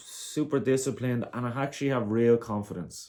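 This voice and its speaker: An Irish accent marks the speech. It moves at a moderate pace. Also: man. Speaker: vlogger, amateur boxer. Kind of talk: casual monologue.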